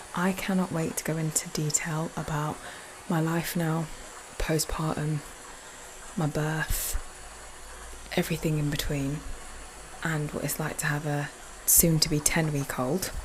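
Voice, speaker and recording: A soft-spoken woman talks at a fairly slow pace in a very deep, low voice with monotone, flat intonation, long and frequent pauses, and noticeable background noise. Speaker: podcast host. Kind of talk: casual monologue.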